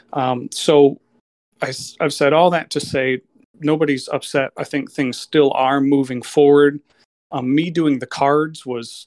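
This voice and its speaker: A man talks in an unremarkable speaking voice, pitched fairly high with fairly even intonation. The sound is dry and close, with no echo. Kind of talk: casual chat. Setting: video call.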